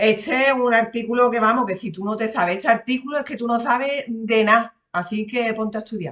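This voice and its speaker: Fairly high in pitch, a woman with an Andalusian accent talks at a fairly quick pace with hardly any pauses and fairly even intonation. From Andalusia, Spain. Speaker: lawyer and exam-prep teacher. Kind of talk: lecture. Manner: casual, conversational.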